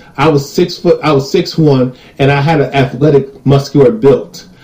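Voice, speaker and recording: A man's fairly high voice with an American accent, ordinary pitch variation and noticeable background noise. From United States. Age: 30s. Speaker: YouTube commentator. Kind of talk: reading comments with commentary. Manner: animated.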